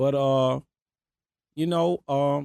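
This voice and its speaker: Heard dry and close with no echo, a man with a Memphis accent has a dark, mellow tone and ordinary pitch variation. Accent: Southern US, Memphis. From South Memphis, Tennessee. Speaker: rapper. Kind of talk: casual interview.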